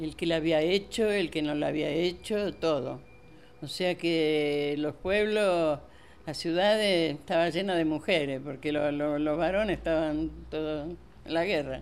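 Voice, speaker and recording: At a fairly slow pace, a woman speaks with a very deep, low pitch and fairly even intonation. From Italy, Molise region (Campobasso province). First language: Italian (speaking Spanish). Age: 80s+. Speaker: grandmother, Italian immigrant. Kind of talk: life-story interview. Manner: halting.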